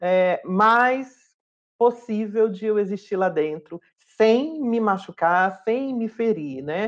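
Against a quiet background, a woman with a fairly high pitch speaks at a very slow pace with lively intonation. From Brazil, Fortaleza, Ceará. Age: 40s. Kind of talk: interview testimony. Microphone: webcam.

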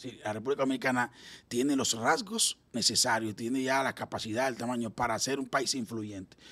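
Fairly quick and fairly even in intonation, the voice has a bright, sharp tone. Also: man, medium pitch for a man. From Dominican Republic. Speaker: political analyst. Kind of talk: political talk show interview. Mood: earnest, argumentative. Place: studio. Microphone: studio mic.

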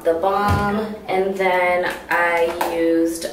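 A woman speaks with a fairly low pitch. There is light background noise and audible room echo. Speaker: beauty vlogger. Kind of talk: casual vlog chat. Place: bathroom. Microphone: camera far.

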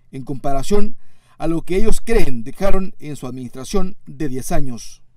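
A man speaks at a fairly slow pace. His tone is dark and mellow, with lively intonation. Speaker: news reporter. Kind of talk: news report. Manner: formal.

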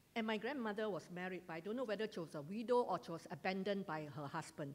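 A woman's medium-pitched voice with a Malaysian accent and lively intonation. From Malaysia, Johor (Segamat); Johor, Malaysia. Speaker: retired teacher giving church testimony. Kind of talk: testimony. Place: hall.

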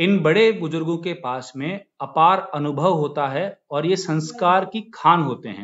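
The speaker moves at a fairly slow pace with ordinary pitch variation. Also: man, high pitch for a man. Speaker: school teacher. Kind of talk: address to students. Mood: warm, formal. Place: office. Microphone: phone near.

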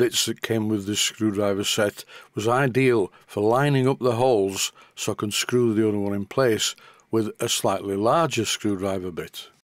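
Moderate in pace, a man speaks with ordinary pitch variation. The sound is dry with no echo, and the background is quiet. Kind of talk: tutorial. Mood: dry humorous, careful. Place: workshop.

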